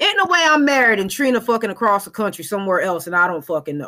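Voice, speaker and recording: A loud woman speaks with a fairly high pitch, a bright, sharp tone and lively intonation. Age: 40s. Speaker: podcast co-host. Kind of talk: casual chat.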